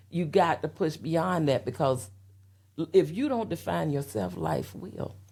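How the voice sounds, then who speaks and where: In a Southern US accent, a woman talks at a fairly slow pace with a very deep, low pitch, a dark, mellow tone and vocal fry. Her pitch swings very widely, and the recording is very clean with a silent background. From US South (Florida, Alabama, Tennessee). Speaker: interview guest. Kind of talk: personal testimony in interview. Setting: podcast interview.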